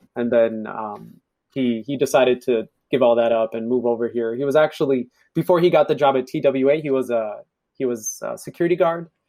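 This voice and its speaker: With an ordinary speaking voice, a man talks at a fairly quick pace, his medium pitch showing ordinary variation. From Ethiopia, raised in US from age 9-10. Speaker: podcast guest. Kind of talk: casual chat.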